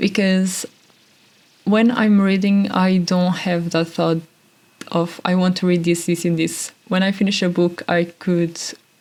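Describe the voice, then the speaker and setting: Over noticeable background noise, a woman speaks at a fairly slow pace and a medium pitch. Her intonation is monotone and flat, and her loudness stays very even. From Portugal. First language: Portuguese. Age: 20s. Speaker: podcast host. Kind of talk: casual monologue. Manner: halting.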